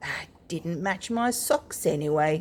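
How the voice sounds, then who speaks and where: A woman puts on a character voice, pitched fairly low and delivered at a fairly slow pace. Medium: read story.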